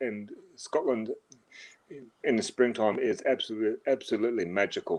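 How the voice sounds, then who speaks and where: A man with an Australian accent talks at a fairly quick pace. His speech has long, frequent pauses. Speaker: livestream guest. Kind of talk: casual chat. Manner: halting, many fillers and repetitions.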